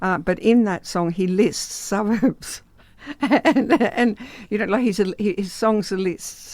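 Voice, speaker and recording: Speaking at a fairly slow pace, a woman with an Australian accent uses a medium pitch with ordinary variation. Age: 70s. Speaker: drummer. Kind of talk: radio interview. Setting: radio studio. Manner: halting.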